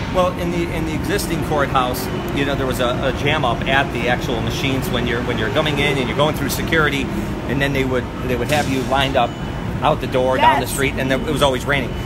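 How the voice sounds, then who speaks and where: The speaker talks at a very fast pace. Loud background noise runs underneath. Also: man. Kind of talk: interview answer. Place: street. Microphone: phone near.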